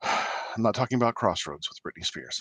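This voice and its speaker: The man speaks at medium pitch and a moderate pace, with a dry, close sound and no echo. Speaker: podcast co-host. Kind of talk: casual chat about a horror film. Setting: video call.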